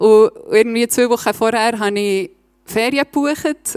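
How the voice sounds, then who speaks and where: A woman's fairly high voice with a Swiss German accent, at a fairly slow pace, in a dry, close sound with no echo. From Switzerland, Bernese Oberland (Reichenbach). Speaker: lay preacher. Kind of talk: sermon.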